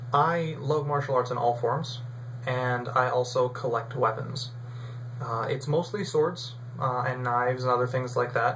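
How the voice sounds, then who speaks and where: In an American accent, the speaker goes at a fairly slow pace with fairly even intonation, and room echo is audible. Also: man, medium pitch for a man. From US South, Raleigh, North Carolina. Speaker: vlogger. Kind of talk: casual vlog talk. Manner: casual, with fillers.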